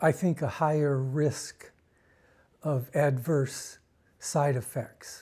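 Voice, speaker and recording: On a very clean recording with a silent background, a man speaks very slowly, his fairly high, somewhat breathy voice dark and mellow with fairly even intonation. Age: 60s. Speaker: Parkinson's patient. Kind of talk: interview.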